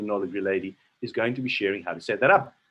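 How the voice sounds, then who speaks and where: In an enthusiastic tone with vocal fry, a man talks at a very fast pace. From South Africa, Cape Town. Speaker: network marketing presenter. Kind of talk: sales presentation. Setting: online video call.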